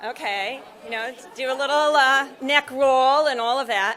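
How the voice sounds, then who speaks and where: A woman with an American accent, high pitch, lively intonation and a moderate pace. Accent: American, noticeable to Australian audience. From US Midwest, Nebraska. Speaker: psychiatric nurse practitioner and professor. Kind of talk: conference keynote. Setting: stage with audience.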